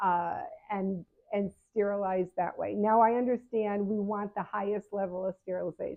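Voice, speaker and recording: The speech moves at a moderate pace. Its intonation stays flat and monotone. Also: woman, medium pitch for a woman. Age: 70s. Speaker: patient advocate and health coach. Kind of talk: casual advice talk to camera. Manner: conversational with frequent fillers and restarts.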